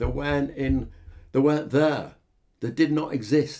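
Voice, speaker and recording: Vocal fry in a dark, mellow tone. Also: man. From northern England, Yorkshire (Hull). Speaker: podcast host, life coach. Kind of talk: reflective monologue. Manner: halting, many fillers.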